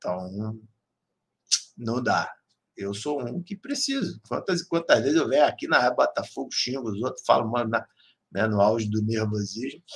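A somewhat breathy man at medium pitch and a moderate pace, animated in tone with lively intonation and long, frequent pauses. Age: 40s. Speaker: sports radio host. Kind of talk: casual fan talk show.

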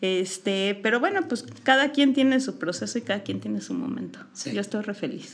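At a moderate pace with hardly any pauses, a woman talks with lively intonation and a medium pitch over noticeable background noise. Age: 40s. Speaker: visual artist and teacher. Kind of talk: casual interview.

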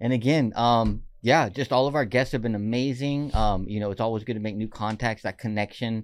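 In an ordinary speaking voice with an American accent, a man talks at a fairly quick pace with hardly any pauses, medium pitch and fairly even intonation, on a very clean recording with a silent background. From Oxnard, California. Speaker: college radio podcast host. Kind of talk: casual chat. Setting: studio.

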